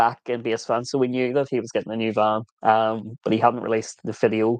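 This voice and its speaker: Very fast and monotone, a man with an Irish accent talks at medium pitch in a dry, close sound with no echo. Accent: Irish, viewers call it kinder than Scottish. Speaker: vanlife vlogger. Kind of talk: livestream Q&A chat. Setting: live stream.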